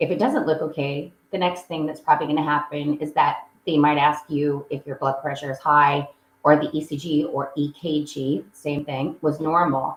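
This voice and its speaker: With hardly any pauses, a woman speaks in a very deep, low pitch and a monotone, flat intonation. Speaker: echocardiography sonographer. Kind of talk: educational talk. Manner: fast.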